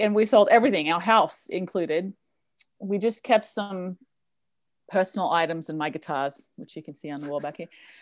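A woman's fairly quick speech at a medium pitch, with ordinary pitch variation, big swings in loudness and a quiet background. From northern Australia (tropical). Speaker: life coach and musician. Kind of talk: casual podcast interview.

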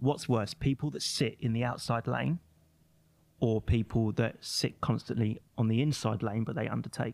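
Here is a man with a plain, everyday voice at a medium pitch. He moves at a moderate pace with ordinary pitch variation. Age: 30s. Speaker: magazine owner. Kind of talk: casual chat. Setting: studio.

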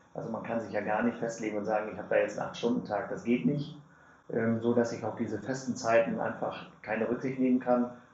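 Delivered at a very fast clip with fairly even intonation, the speech sits over noticeable background noise. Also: man, medium pitch for a man. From Lower Saxony, Germany (Lohne). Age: 40s. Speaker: mayor and district administrator candidate. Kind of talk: interview.

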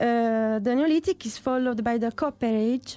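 Fairly high-pitched woman with an Italian accent and ordinary pitch variation, in a very clean recording with a silent background. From Italy, Puglia. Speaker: archaeologist. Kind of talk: interview.

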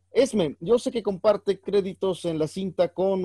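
A man with a dark, mellow tone speaks at a fairly slow pace, the sound dry and close with no echo. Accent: Mexican. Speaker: actor, clown and teacher co-hosting film podcast. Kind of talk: casual chat.

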